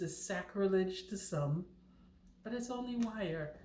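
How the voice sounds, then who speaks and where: Speaking at a fairly slow pace, this voice carries audible room echo. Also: woman. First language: not English. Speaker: knitting channel host. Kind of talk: tutorial. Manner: casual, chatty.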